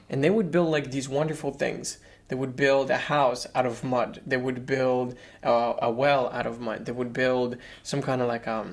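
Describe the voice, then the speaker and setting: The speaker has a non-native accent and keeps a moderate pace. The intonation stays fairly even. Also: man, medium pitch for a man. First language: not English. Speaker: podcast co-host. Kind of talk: casual chat.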